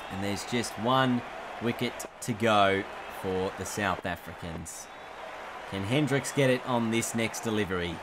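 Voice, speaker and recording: A man speaks in a dramatic tone with ordinary pitch variation, leaving long, frequent pauses. Noticeable background noise sits behind him. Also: fairly low pitch for a man, fairly slow pace. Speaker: gaming video creator and commentator. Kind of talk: cricket commentary over game highlights. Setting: voiceover recorded over game footage. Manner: rising urgency at wickets, dramatic.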